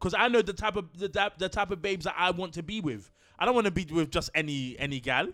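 Over music in the background, a man with a London accent talks at a very fast pace in an animated tone, his high-pitched voice full of lively intonation. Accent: London multicultural English. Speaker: podcast co-host. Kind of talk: casual chat.

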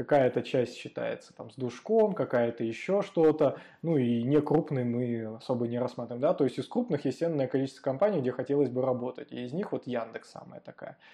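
A man speaks at medium pitch and a fairly quick pace, with ordinary pitch variation. His tone is dark and mellow, and his loudness swings widely. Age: young. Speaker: frontend developer and podcast host. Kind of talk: interview, casual chat.

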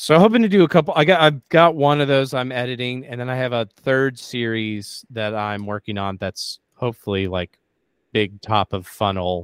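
His intonation is lively. The man's voice sits at medium pitch. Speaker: comedy writer and performer. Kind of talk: casual interview. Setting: online interview. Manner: fast.

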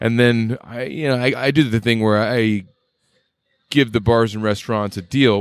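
An unremarkable speaking voice from a man with an American accent, medium pitch and moderate pace, on a very clean recording with a silent background. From Boise, Idaho. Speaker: craft brewer, Navy veteran. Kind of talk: casual interview chat. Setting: at a bistro.

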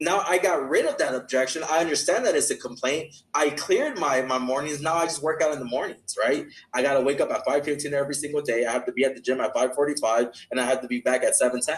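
A man with an American accent, at a very fast pace with hardly any pauses. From Los Angeles, California. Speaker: sales mentor. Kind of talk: interview.

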